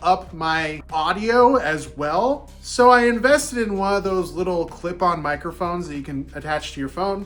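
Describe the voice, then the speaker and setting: A man talks loudly in a high pitch with an animated tone. His pitch varies in an ordinary way. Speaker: playing card reviewer. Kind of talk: product review and unboxing.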